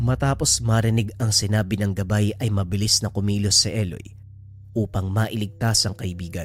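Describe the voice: Someone does some plain reading aloud, the intonation staying fairly even.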